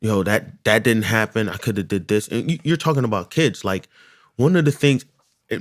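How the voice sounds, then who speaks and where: Moderate in pace, the voice has lively intonation. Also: man. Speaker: podcast co-host. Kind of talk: casual chat. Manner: loud; casual, repetitive with false starts.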